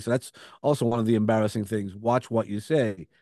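Heard in a dry, close sound with no echo, a man talks at a very fast pace. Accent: Brooklyn. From Brooklyn, New York. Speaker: speaker and coach. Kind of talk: podcast interview, conversational.

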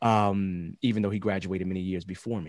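A man speaks at a moderate pace in a normal speaking voice, fairly low-pitched with ordinary pitch variation, on a very clean recording with a silent background. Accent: American. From Chicago South Side. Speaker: agile coach and scrum trainer. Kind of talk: interview conversation.

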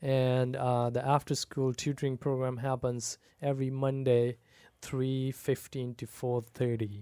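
A man talks at a medium pitch and a fairly slow pace, with monotone, flat intonation and a dark, mellow tone. The sound is dry and close with no echo, on a very clean recording with a silent background. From Pakistan. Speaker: pastor. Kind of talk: casual chat.

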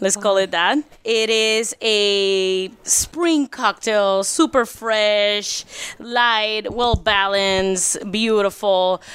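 In a Spanish accent, the voice moves at a very slow pace with very even loudness and ordinary pitch variation. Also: woman, fairly high pitch for a woman. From Puerto Rico. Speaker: bar and restaurant co-owner. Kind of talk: casual interview chat.

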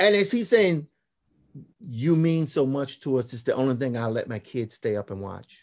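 At a moderate pace, a man talks in a fairly high pitch with very wide pitch swings and big swings in loudness, recorded in a dry, close sound with no echo. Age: 50s. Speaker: graphic novelist and illustrator. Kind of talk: interview.

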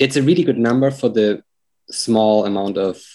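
Speaking at a fairly quick pace, a man with a German accent has a dark, mellow tone. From Germany. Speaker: real estate agent. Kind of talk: coaching call. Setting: call.

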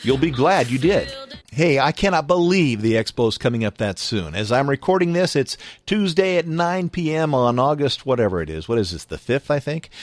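Over music in the background, a man with a fairly high pitch speaks at a moderate pace, his voice making very wide pitch swings. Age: 50s. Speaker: podcast host. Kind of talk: casual interview and show hosting. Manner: upbeat, laughing.

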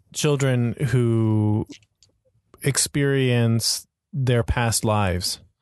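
Over a quiet background, a man speaks at a very slow pace with a medium pitch and lively intonation. The sound is dry and close with no echo. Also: very even loudness. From Florida, US. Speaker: podcast host. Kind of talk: interview conversation. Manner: hesitant, many filler words.

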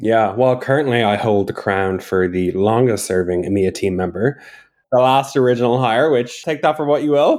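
A man with a normal speaking voice at medium pitch talks at a moderate pace with ordinary pitch variation, on a very clean recording with a silent background. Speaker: support team lead. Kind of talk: casual interview chat. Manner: jokey, relaxed.

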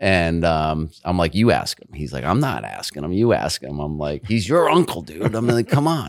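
The speaker has an American accent and talks at a moderate pace with hardly any pauses. Both loudness and pitch swing widely, the pitch very much so. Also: man, very deep, low pitch for a man. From Rhode Island, US New England. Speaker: investment firm executive. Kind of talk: interview.

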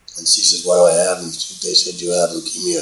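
The voice carries an American accent. Noticeable background noise and audible room echo surround it. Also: man. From New York City, Bronx. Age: 70s. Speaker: real estate executive. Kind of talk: interview.

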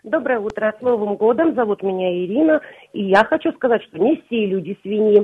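Using an unremarkable speaking voice, a woman talks at a moderate pace with a fairly high pitch and lively intonation. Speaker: caller. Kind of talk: casual chat. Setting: phone call.

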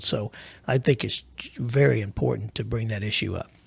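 At a fairly quick pace, a man with a fairly low pitch and vocal fry speaks with lively intonation. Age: 50s. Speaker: financial planner. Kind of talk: casual chat.

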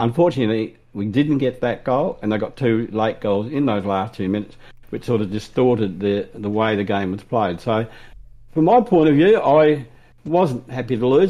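A man's dark, mellow tone with lively intonation. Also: medium pitch for a man, moderate pace. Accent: Australian. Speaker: AFL fan podcast co-host. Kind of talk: casual sports chat.

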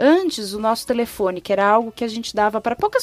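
Fairly high pitch from a woman with an ordinary speaking voice and lively intonation. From São Paulo city, Brazil. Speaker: communications and fashion professional. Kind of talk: casual chat.

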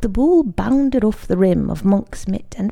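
The pitch moves in a lively way through this natural reading voice.

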